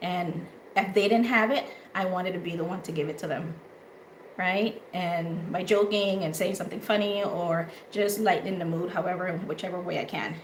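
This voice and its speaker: A woman speaks at a moderate pace and medium pitch, with fairly even intonation. There is noticeable background noise and audible room echo. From Honduras. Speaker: talk show host. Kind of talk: casual chat. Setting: live audio room and stream.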